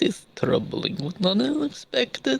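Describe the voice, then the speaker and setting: Using a put-on character voice pitched high for a man, he speaks at a moderate pace. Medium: actual play. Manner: formal, clipped, terse.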